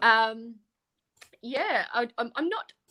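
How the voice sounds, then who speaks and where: In an Australian accent, a woman with a bright, sharp tone and lively intonation is heard on a very clean recording with a silent background. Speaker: panelist. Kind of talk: casual chat.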